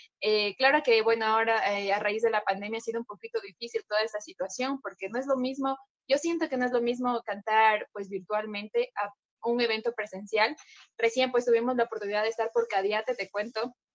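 A woman with an ordinary speaking voice talks at a fairly quick pace, her pitch varying in an ordinary way. The sound is dry and close, with no echo. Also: fairly high pitch for a woman. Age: 20s. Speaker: cumbia group singer. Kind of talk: casual interview chat.

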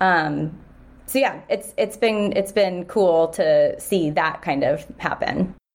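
In an American accent, a woman speaks at a very slow pace with very even loudness. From US Pacific Northwest, Seattle. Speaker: entrepreneur, store owner. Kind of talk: casual interview.

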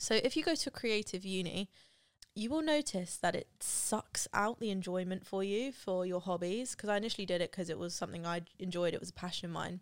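A woman with a British accent at a medium pitch and a fairly quick pace, with ordinary pitch variation. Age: 20s. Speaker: YouTuber and podcast host. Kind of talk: casual solo monologue.

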